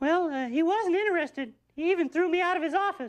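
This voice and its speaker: A woman's squeaky, put-on character voice, extremely high-pitched, very fast, with ordinary pitch variation. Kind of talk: comic overacting. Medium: short film. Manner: hesitant, stammering.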